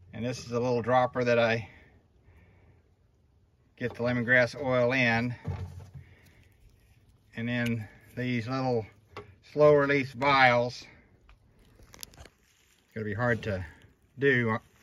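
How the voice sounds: At a slow pace with long, frequent pauses, a man talks in a medium pitch with little pitch movement and a fairly bright tone.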